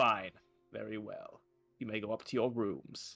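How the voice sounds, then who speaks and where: A man's put-on character voice at medium pitch and moderate pace, with faint music in the background. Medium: read story. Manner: stern, scolding.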